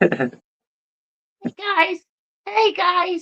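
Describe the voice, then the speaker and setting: In a put-on character voice, a man squeaks at an extremely high pitch. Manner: faking a higher voice.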